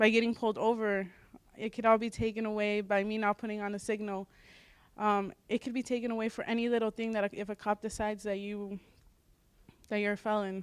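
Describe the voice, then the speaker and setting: Fairly quick, monotone, flat speech from a woman with a fairly high pitch and a Spanish accent, broken by long, frequent pauses. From US (raised from age three), born in Mexico. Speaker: student panelist. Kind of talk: personal testimony on a panel.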